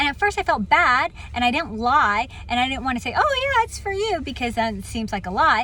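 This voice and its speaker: A woman with an American accent speaks in a raised, projected voice, high-pitched and bright and sharp in tone, her pitch swinging very widely. She goes at a fairly quick pace with hardly any pauses. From Virginia Beach, US. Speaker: motivational speaker. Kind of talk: inspirational talk. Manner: casual, conversational.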